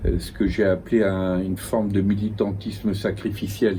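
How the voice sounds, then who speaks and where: A man with a fairly low pitch speaks at a fairly slow pace, with audible room echo and noticeable background noise. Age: 70s. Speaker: philosopher and essayist. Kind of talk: interview. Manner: halting, repeats words.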